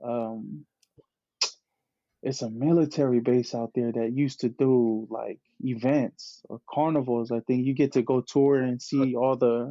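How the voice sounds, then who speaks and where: At a fairly slow pace, a man with a Bay Area accent speaks at a medium pitch with fairly even intonation. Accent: Bay Area speech. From California Bay Area, Tongan and Hawaiian family. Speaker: clothing brand founder. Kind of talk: casual chat. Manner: halting, many repeated words.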